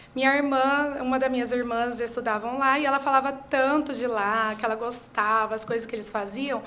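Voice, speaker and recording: A woman with a high pitch and a bright, sharp tone speaks at a moderate pace with hardly any pauses. Her intonation is fairly even, and audible room echo surrounds her. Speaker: teacher. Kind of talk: interview. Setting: studio.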